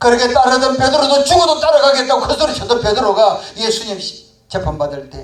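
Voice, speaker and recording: An extremely high-pitched man talks at a fairly quick pace with hardly any pauses and big swings in loudness. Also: ordinary pitch variation. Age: 70s. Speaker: pastor. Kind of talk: sermon.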